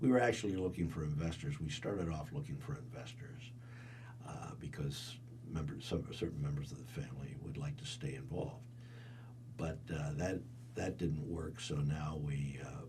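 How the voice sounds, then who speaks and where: Speaking with a central Pennsylvania accent, a man uses a medium pitch and very wide pitch swings, with audible room echo and noticeable background noise. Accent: central Pennsylvania American. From central Pennsylvania, Cumberland County. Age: 80s+. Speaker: resort and theatre owner. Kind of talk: oral history interview. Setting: recording studio. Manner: halting, with many repetitions and fillers.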